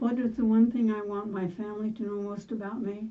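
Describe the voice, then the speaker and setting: A somewhat breathy woman's voice, fairly high-pitched, with fairly even intonation at a moderate pace. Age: 80s+. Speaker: grandmother telling life stories. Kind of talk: oral history interview. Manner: halting.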